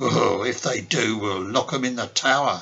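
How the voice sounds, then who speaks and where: A man puts on a gruff character voice at a medium pitch, keeping a moderate pace. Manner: laughing, jovial.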